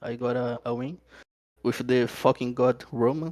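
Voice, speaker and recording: Speaking at a fairly slow pace, a man talks with a Portuguese accent. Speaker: racing competitor. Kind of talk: interview. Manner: halting.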